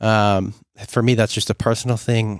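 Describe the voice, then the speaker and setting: Captured in a very clean recording with a silent background and a dry, close sound with no echo, a man talks fairly quickly at a fairly low pitch. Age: 20s. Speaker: podcast host. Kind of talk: solo monologue. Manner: reflective, hesitant.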